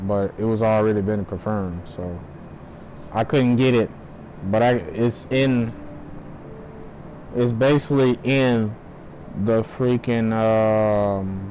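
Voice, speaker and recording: A man's medium-pitched voice at a very slow pace with long, frequent pauses and noticeable background noise. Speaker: gaming streamer. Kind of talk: live gameplay stream chat.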